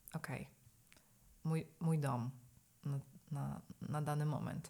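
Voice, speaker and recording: Fairly even intonation marks this woman's very deep, low pitch. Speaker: yoga, meditation and breathwork teacher. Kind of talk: casual interview.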